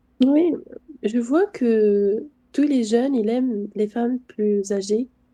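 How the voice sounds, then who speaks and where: A woman's fairly high, dark, mellow voice in a Tunisian accent, very slow, with ordinary pitch variation. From Tunisia, Tunis. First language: Arabic (Tunisian) (speaking French). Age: 30s. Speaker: stranger in random video chat. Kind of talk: casual chat.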